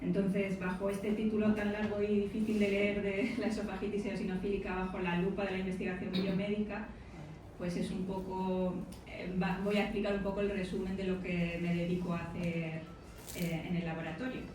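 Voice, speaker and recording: A soft-spoken woman at a medium pitch and a moderate pace, in a monotone, flat intonation, with audible room echo and noticeable background noise. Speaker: biomedical researcher. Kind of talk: lecture. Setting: lecture hall with audience.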